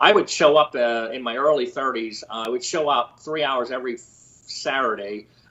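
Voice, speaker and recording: A plain, everyday voice with an American accent moves at a moderate pace. It has ordinary pitch variation and hardly any pauses. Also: man, medium pitch for a man. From Pennsylvania, near Philadelphia. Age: 60s. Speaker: construction company co-founder and president. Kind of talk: podcast interview.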